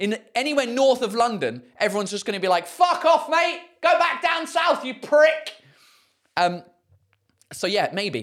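Someone with a British accent speaks with long, frequent pauses. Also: moderate pace. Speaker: stand-up comedian and podcast host. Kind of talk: casual live-streamed podcast chat. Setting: live stream, talking to chat. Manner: casual, chatty, profane, animated.

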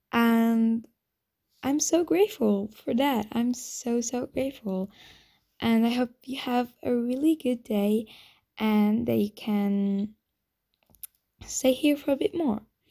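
A dark, mellow tone with a non-native accent at a very slow pace, long, frequent pauses and ordinary pitch variation. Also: woman, fairly high pitch for a woman. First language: not English. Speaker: new podcaster. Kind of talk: casual solo podcast intro.

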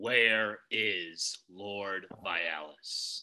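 A man uses a put-on character voice with a fairly low pitch. He growls as he speaks. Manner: growling.

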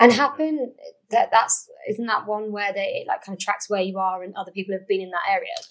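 A woman talks at a fairly quick pace with hardly any pauses, ordinary pitch variation and big swings in loudness. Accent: English. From England. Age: 20s. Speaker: podcast host. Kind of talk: casual chat. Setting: at home recording, with wine.

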